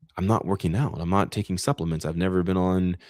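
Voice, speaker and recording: A man talks in a very deep, low voice with a relaxed tone. The recording is very clean with a silent background and a dry, close sound with no echo. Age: 30s. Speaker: wellness coach. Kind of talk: casual chat. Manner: relaxed, low-key.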